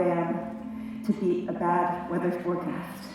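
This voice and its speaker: A woman speaks at a very slow pace amid noticeable background noise. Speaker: college professor and former aerialist. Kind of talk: live storytelling performance. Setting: live theatre stage.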